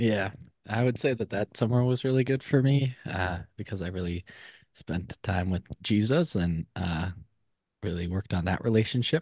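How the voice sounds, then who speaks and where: In an American accent, a man with an unremarkable speaking voice talks at a moderate pace in a fairly low pitch with lively intonation, the sound dry and close with no echo against a quiet background. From Minnesota. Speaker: podcast guest. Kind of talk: casual chat.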